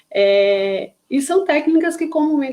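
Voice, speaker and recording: Speaking in a Paraíba accent, a woman uses a dark, mellow tone with lively intonation. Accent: northeastern Brazilian (Paraíba). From Paraíba, northeastern Brazil. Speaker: psychologist and neuropsychologist. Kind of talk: online lecture (live stream). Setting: live stream on social media. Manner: hesitant, many fillers and repetitions.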